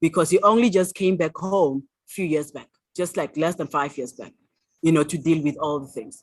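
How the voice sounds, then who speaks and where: With a South African accent, a woman talks in a very deep, low voice with ordinary pitch variation against a quiet background. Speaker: author. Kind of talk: interview answer.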